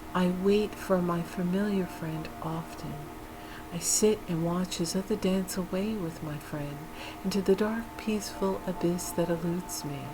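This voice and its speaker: A woman speaks fairly slowly with fairly low pitch and fairly even intonation. Music plays in the background. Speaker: ASMR creator and poet. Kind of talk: dark poetry reading. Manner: slow, soft, melancholic.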